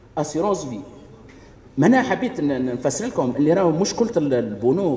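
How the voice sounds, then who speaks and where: There is noticeable background noise as a man speaks at a moderate pace in a fairly high pitch. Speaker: pharmacist. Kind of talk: audience contribution at public meeting.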